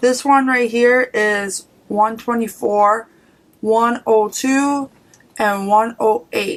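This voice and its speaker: Her pitch is fairly high, with ordinary variation. This woman talks at a very slow pace. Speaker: beauty vlogger. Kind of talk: product haul review. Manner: casual, hesitant with fillers.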